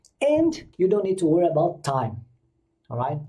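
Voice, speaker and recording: A man with a Brazilian Portuguese accent speaks in a dark, mellow tone that is somewhat breathy. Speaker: English exam coach. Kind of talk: tutorial. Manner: casual, with hesitations.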